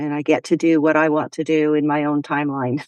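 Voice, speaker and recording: A woman speaks at a very deep, low pitch. The sound is dry and close with no echo, over a quiet background. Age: 60s. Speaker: horse riding confidence coach. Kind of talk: interview.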